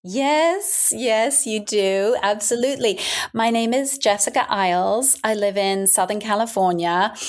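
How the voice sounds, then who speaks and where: Speaking in an English accent, a woman with a fairly high pitch talks at a fairly slow pace. Her pitch variation is ordinary and her loudness very even. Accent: English accent, noticeable. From London then eastern US (Washington DC, Connecticut). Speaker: breastfeeding charity founder. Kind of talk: podcast interview.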